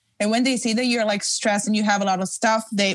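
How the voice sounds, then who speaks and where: A woman with an Italian accent speaks in a fairly high, somewhat breathy voice. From Italy. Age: 20s. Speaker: fashion designer. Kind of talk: interview.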